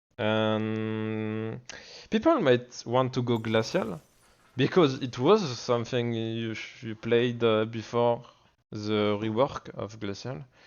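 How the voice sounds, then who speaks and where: In a French accent, a man talks at a medium pitch. He goes at a very slow pace with fairly even intonation. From France. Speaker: gaming streamer. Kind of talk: tutorial. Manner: halting.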